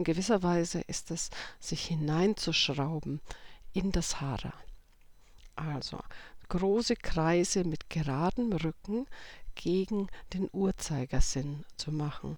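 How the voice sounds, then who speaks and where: A woman speaks at a very slow pace with long, frequent pauses and a fairly low pitch. Her tone is calm and soothing, with ordinary pitch variation. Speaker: meditation guide. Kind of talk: guided meditation. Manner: slow, calm, soothing.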